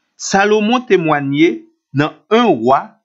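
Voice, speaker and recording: Speaking very slowly in a Haitian accent, a man uses very wide pitch swings. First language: Haitian Creole (speaking French). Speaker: Bible teacher. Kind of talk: scripted Bible teaching.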